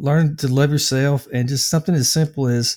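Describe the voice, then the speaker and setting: A man's fairly high voice with a dark, mellow tone, ordinary pitch variation and a slight Southern US accent, in a very clean recording with a silent background. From US South, Nashville, Tennessee. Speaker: anger management coach and addiction counselor. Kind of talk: interview conversation. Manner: hesitant, many filler words.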